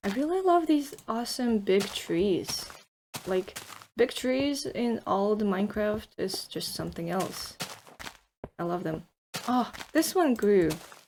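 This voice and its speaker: A woman with a fairly high voice swings her pitch very widely and leaves long, frequent pauses. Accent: non-native. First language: not English. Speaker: gaming YouTuber. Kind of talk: let's play commentary. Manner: hesitant, many fillers.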